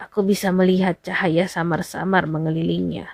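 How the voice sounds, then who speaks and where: A put-on character voice, hoarse and at a moderate pace. The intonation stays monotone and flat. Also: woman, fairly low pitch for a woman. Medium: read story.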